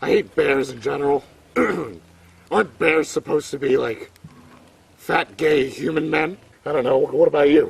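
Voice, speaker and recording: A man's raspy put-on character voice, fairly high in pitch, at a moderate pace with long, frequent pauses. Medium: comedy sketch. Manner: crude slangy street talk.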